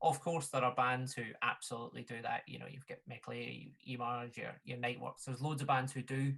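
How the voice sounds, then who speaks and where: A man with a Glaswegian accent, medium in pitch, bright and sharp in tone, fairly quick and flat in intonation, with hardly any pauses. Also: big swings in loudness. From Glasgow, Scotland. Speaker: folk musician and DJ. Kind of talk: casual chat. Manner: halting.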